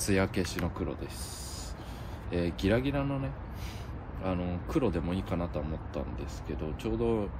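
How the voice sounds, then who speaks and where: Noticeable background noise sits behind the voice. A man speaks at a very deep, low pitch. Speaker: car hobbyist vlogger. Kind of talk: casual tutorial vlog chat. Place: street.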